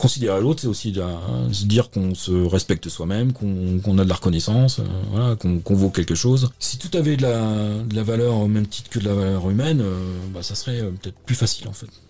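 A man speaks at a fairly low pitch and a fairly quick pace. His tone is dark and mellow, with ordinary pitch variation. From Normandy, France. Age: 50s. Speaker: fly-fishing and river protection volunteer. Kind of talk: interview. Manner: halting.

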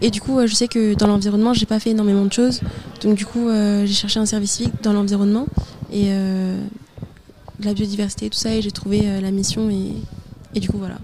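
Over noticeable background noise, a woman speaks at a moderate pace in a monotone, flat intonation. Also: medium pitch for a woman. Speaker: civic service volunteer. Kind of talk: radio interview.

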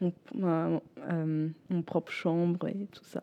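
Dark and mellow in tone, a woman's voice moves at a very slow pace. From northern Germany, Bremen. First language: German (speaking French). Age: 20s. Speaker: former European volunteer, law student. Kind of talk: radio interview. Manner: halting, searching for words.

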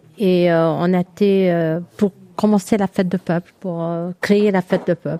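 The voice has a dark, mellow tone and a fairly slow pace. The sound is dry and close with no echo, on a very clean recording with a silent background. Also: woman. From Lebanon. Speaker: community association member. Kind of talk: live radio chat.

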